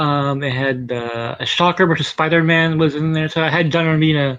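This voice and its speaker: This man's voice sits fairly high in pitch, moving at a fairly quick pace with fairly even intonation. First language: not English. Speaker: comics commentator. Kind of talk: casual chat. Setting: live stream.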